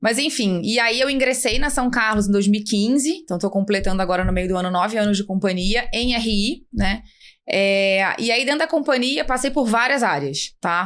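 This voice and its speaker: A woman with a fairly high pitch, lively intonation, very even loudness and a moderate pace. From Rio de Janeiro, Brazil. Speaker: finance executive. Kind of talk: interview.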